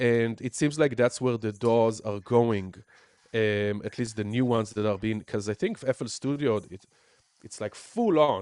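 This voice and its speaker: In a strong Israeli accent, a man talks at a medium pitch with ordinary pitch variation. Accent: Israeli accent, thick. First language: Hebrew. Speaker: music producer and teacher. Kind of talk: casual chat. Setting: live stream from home studio. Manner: animated.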